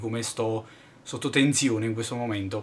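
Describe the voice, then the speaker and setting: A man's voice at medium pitch. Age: 20s. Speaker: YouTuber, tech reviewer; YouTuber. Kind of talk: vlog monologue. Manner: halting, many fillers. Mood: irritated, venting. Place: home room. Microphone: webcam.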